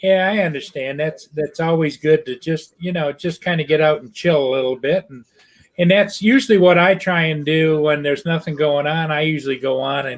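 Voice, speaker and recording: An ordinary speaking voice from a man, fairly high pitched, with ordinary pitch variation, a fairly quick pace and big swings in loudness. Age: 60s. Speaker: drone hobbyist viewer. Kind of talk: casual chat.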